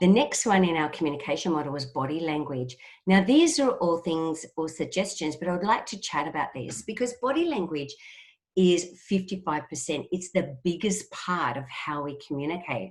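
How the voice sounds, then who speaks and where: A woman with a fairly low pitch and an Australian accent speaks at a moderate pace with lively intonation. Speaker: trainer. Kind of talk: webinar presentation.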